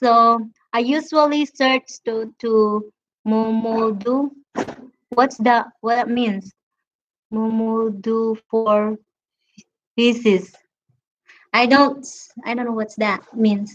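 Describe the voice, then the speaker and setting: Speech comes at a very slow pace with a Filipino accent and fairly even intonation. Long pauses occur often. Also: woman. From Philippines, Visayas. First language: Visayan. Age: 30s. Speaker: live streamer. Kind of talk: casual chat. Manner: halting.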